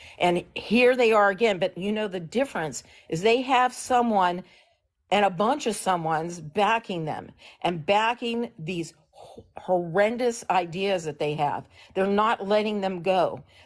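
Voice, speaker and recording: A plain, everyday voice, a woman at medium pitch with ordinary pitch variation and a fairly slow pace. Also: quiet background. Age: 60s. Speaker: political activist caller on a livestream. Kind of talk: political discussion on a livestream.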